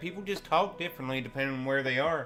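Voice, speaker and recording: With a strong Southern Appalachian accent, a man talks at a fairly quick pace with lively intonation. Music plays in the background. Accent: thick Southern Appalachian. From US South, Southern Appalachia, Tennessee. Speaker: video game streamer. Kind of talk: casual chat. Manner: animated.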